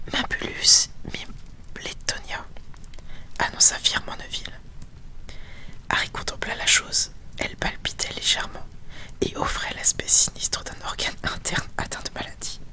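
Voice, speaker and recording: Whispering at a fairly slow pace with long, frequent pauses, over noticeable background noise. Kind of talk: audiobook reading. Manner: whispered.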